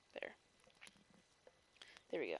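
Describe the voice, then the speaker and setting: A soft-spoken woman is heard with a dry, close sound and no echo. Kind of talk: read story. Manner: soft-spoken, relaxing.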